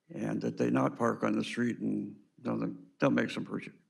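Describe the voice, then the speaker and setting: Audible room echo carries a man's voice. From Southern California. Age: 70s. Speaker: public commenter. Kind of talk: public comment at meeting. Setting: city hall podium. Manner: halting.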